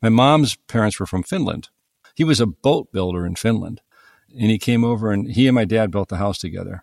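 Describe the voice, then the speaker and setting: In a very clean recording with a silent background and a dry, close sound with no echo, a man with an American accent speaks in a fairly low pitch with ordinary pitch variation. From US Midwest (northern Ohio, east of Cleveland). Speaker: plumber and business owner. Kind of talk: casual interview chat.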